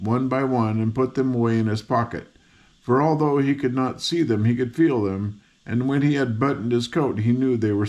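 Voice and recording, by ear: A natural voice reading aloud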